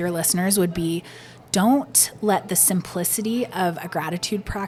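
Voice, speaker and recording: A woman at a moderate pace and medium pitch, fairly even intonation, over noticeable background noise. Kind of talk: casual interview chat.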